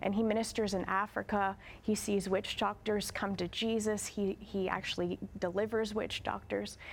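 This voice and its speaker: It is a normal speaking voice at a moderate pace. The recording is very clean, with a silent background. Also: woman. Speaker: guest, minister's wife.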